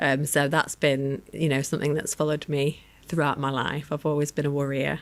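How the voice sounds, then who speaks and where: In a Lancashire accent, a woman talks at a fairly quick pace, her very deep, low pitch held in a monotone, flat intonation. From northern England, Lancashire. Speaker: research director and end-of-life doula. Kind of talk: interview conversation. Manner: hesitant, many fillers.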